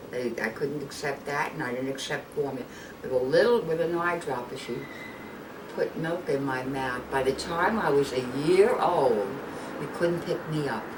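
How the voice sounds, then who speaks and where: A woman with a New York accent speaks at a very deep, low pitch with lively intonation. There is noticeable background noise along with audible room echo. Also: moderate pace. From New York, Brooklyn. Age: 80s+. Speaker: grandmother. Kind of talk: family interview.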